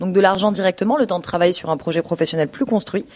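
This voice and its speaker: A woman talks in a normal speaking voice. Her pitch moves in an ordinary way. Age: 20s. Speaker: nonprofit worker. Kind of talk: radio interview.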